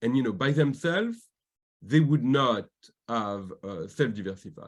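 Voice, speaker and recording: A slight French accent at a fairly quick pace. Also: man. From France. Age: 40s. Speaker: diversity advocate and corporate governance expert. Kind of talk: interview.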